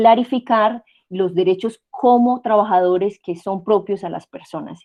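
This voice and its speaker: At a fairly slow pace, a woman with a normal speaking voice speaks at medium pitch with ordinary pitch variation. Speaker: university lecturer. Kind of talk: online lecture.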